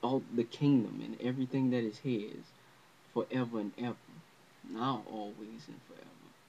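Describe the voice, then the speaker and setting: Speaking at a fairly slow pace, a man holds a medium pitch with fairly even intonation. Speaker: religious teacher. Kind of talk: religious lesson to camera. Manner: unscripted, hesitant.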